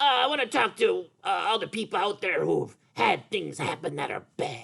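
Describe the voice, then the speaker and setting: A man puts on a high, cartoonish character voice. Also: moderate pace. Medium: puppet. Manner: hesitant.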